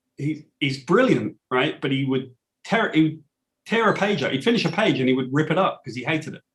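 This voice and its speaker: A British accent at a fairly quick pace. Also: man, fairly high pitch for a man, lively intonation. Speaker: comic book writer. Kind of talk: interview.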